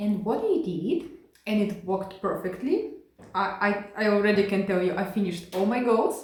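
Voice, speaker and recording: With a non-native accent, a woman speaks at a moderate pace and medium pitch. Room echo is audible, and background noise is noticeable. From Ukraine. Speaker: cross-stitch video creator. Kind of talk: casual hobby vlog. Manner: halting, many fillers and restarts.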